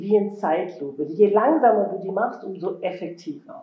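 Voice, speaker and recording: A woman talks at a moderate pace, and the room echo is audible. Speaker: fitness instructor. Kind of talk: workout instruction.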